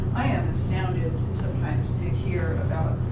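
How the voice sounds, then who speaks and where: Loud background noise surrounds a woman's voice. Room echo is audible. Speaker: psychology instructor. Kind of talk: lecture. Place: classroom.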